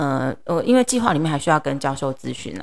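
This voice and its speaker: Woman at a fairly quick pace. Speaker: middle school English teacher. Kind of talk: interview.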